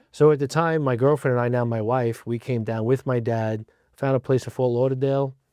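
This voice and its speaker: A man with a New Jersey accent at medium pitch, dark and mellow in tone, fairly quick, with fairly even intonation. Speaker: fire rescue division chief. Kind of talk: interview. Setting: studio.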